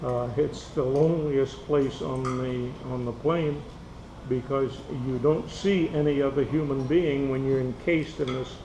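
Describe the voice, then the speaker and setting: A man speaks at a fairly high pitch and a fairly slow pace with fairly even intonation. Audible room echo and noticeable background noise fill the recording. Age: 80s+. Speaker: war veteran. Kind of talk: casual chat.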